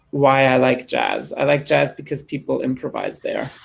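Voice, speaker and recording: A man speaking with a German accent. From Germany. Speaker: jazz singer. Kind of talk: panel discussion.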